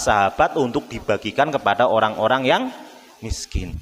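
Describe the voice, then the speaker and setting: Over noticeable background noise, a man speaks with a Javanese accent. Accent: Javanese, Solo-style eastern Javanese tinge. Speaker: Islamic preacher. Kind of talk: sermon. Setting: mosque. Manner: casual, mixing in Javanese.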